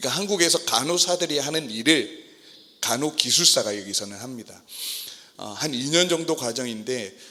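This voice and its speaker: A man's lively intonation stands out against noticeable background noise. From South Korea. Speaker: missionary pastor. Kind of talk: sermon. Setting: church service.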